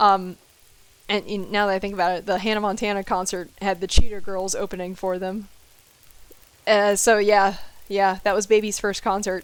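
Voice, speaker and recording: In an American accent, a woman talks at a fairly quick pace with long, frequent pauses. Her medium-pitched voice has monotone, flat intonation. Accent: southern US accent comes out when stressed. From US South. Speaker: video game streamer. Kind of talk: live gameplay stream chatting with viewers. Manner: casual, chatty.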